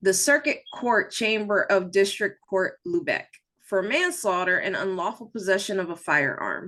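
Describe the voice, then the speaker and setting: Bright and sharp in tone, a voice with an American accent moves at a moderate pace with lively intonation over a quiet background. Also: woman, medium pitch for a woman. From New Jersey. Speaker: true crime podcast host. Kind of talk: casual storytelling chat. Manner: reading from notes, casual.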